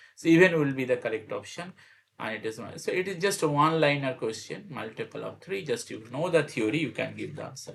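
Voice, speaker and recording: A man talks very fast at a fairly high pitch, with lively intonation and vocal fry. His loudness swings widely. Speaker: math teacher. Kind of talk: tutorial. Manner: repetitive, halting.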